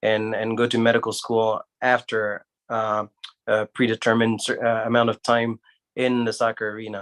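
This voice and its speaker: A man talks at a fairly quick pace in a French accent, his pitch medium. The sound is dry and close with no echo, the recording very clean over a silent background. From Guinea, West Africa. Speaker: surgeon, medical school alumnus. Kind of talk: panel discussion. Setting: livestream.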